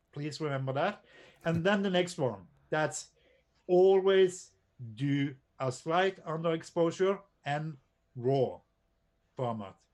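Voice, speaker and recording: A very slow pace with long, frequent pauses, ordinary pitch variation, and a non-native accent. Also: man, fairly high pitch for a man. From Norway. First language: not English. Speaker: drone photographer and presenter. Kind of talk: casual chat. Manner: halting.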